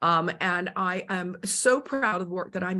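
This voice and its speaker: A woman's plain, everyday voice at medium pitch with ordinary pitch variation, on a very clean recording against a silent background. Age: 60s. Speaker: former supermodel and author. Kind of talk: interview.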